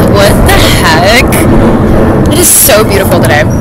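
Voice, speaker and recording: The speech runs at a moderate pace in a dry sound with no echo, under loud background noise. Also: woman. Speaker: vlogger. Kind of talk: casual vlog chat. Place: street. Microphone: phone near.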